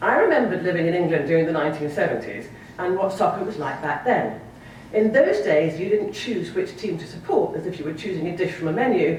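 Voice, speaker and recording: A woman speaks at a very fast pace with lively intonation. Noticeable background noise and audible room echo fill the recording. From Sierra Leone and Scotland. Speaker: novelist. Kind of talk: keynote speech.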